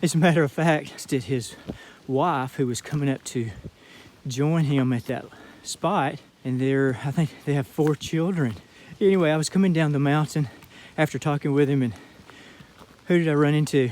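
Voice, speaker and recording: This man's voice is fairly high-pitched, with ordinary pitch variation. He goes at a moderate pace, broken by long, frequent pauses. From Georgia (US). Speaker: hiker vlogger. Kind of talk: casual vlog talk, outdoor monologue. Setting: outdoors on hiking trail.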